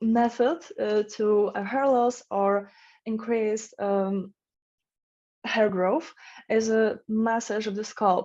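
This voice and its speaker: A woman's fairly high, dark and mellow voice with a non-native accent, very slow with long, frequent pauses, fairly even intonation, and a quiet background. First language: not English. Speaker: conference presenter. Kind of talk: conference Q&A. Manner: halting, many fillers.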